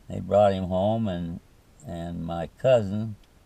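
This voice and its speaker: Speaking very slowly, a man with an American accent has a fairly low pitch and a dark, mellow tone. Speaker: war veteran. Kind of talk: interview answer.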